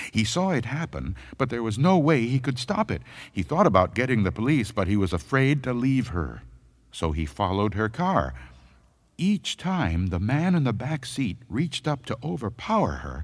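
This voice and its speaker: On a very clean recording with a silent background, a man with vocal fry and medium pitch speaks at a moderate pace, his pitch swinging very widely. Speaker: voice actor. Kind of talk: audiobook horror story narration.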